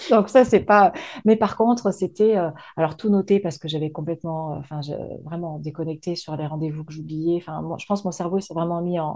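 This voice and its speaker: Against a quiet background, a woman speaks fairly quickly in a dark, mellow tone with ordinary pitch variation. Her loudness swings widely. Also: fairly low pitch for a woman. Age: 40s. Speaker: business coach, former HR manager. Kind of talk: interview. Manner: fast; hesitant, with many fillers.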